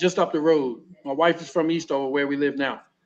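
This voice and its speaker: A man with an American accent. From Baltimore, Maryland, US. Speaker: former pro basketball player, sheriff's deputy. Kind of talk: talk show interview, personal storytelling. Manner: halting, with frequent repetitions.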